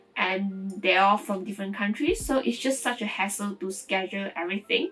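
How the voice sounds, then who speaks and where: Music plays in the background as a woman talks fairly quickly at a medium pitch with ordinary pitch variation. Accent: Mandarin. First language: Mandarin. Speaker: vlogger and online language tutor. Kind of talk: casual vlog talk to camera. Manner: conversational with fillers and false starts.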